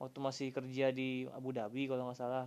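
The tone is relaxed. The pace is moderate. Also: man. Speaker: solo podcaster. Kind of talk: casual monologue. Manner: halting, many fillers.

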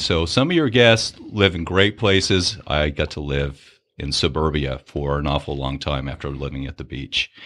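A man with an American accent speaks in a very deep, low pitch, his tone bright and sharp with vocal fry. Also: hardly any pauses. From California, US (Central Coast). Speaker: fisheries biologist. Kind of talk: podcast interview.

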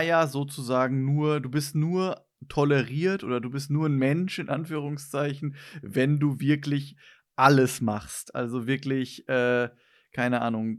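An unremarkable speaking voice from a man, fairly high in pitch, with ordinary pitch variation, on a very clean recording with a silent background. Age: 20s. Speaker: podcast host. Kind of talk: casual chat.

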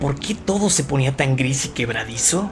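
Over music in the background, a man with a fairly high voice talks at a moderate pace. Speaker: audiobook narrator. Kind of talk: dramatic horror narration, reading a story aloud. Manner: gravely atmospheric, building dread.

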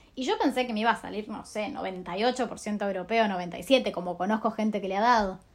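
A woman's ordinary speaking voice, fairly high in pitch, with ordinary pitch variation, a moderate pace, hardly any pauses and a very clean recording over a silent background. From Argentina. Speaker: scholarship alumna. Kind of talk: recorded audio message.

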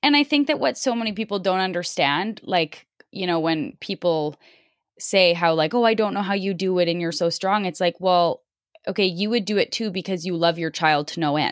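A woman with a Canadian accent speaks at a moderate pace in an unremarkable speaking voice, medium-pitched with lively intonation, on a very clean recording with a silent background and a dry, close sound with no echo. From Canada. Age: 20s. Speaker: podcast host. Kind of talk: interview.

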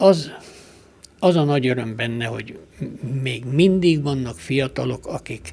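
The speaker is somewhat breathy and talks at a very slow pace with lively intonation. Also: man. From Romania, Partium (Székelyhíd, Bihor). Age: 70s. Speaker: archer and honorary citizen. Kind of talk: radio interview. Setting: studio.

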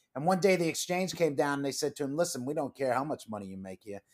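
Heard on a very clean recording with a silent background, a plain, everyday voice carries lively intonation. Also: man. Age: 50s. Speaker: veterans' career nonprofit executive, former Marine and stockbroker. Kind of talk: casual interview.

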